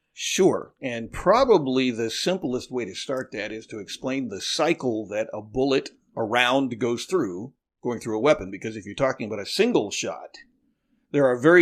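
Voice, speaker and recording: A man speaks at a medium pitch, his intonation lively and his loudness swinging widely. It is an unremarkable speaking voice over a quiet background. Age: 60s. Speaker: navy veteran and firearms owner. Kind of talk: podcast interview.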